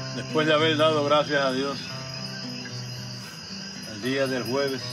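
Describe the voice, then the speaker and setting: A man talks at a fairly slow pace with noticeable background noise behind him. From Puerto Rico. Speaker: poetry reciter. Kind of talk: heartfelt toast to friends at a gathering. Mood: warm, devout, heartfelt. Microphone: camera far.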